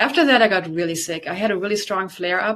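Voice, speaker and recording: A woman with a slight German accent speaks against a quiet background. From Germany. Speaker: detoxification specialist and yoga teacher. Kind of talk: interview testimony.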